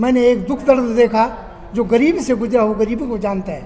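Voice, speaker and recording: A man speaks at an extremely high pitch. Noticeable background noise is present. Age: 70s. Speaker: candidate and social activist. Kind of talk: interview. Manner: animated.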